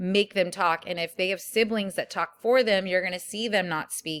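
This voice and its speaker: Fairly quick speech comes from a woman. Her pitch variation is ordinary. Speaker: college instructor. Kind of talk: lecture. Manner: hesitant with frequent ums.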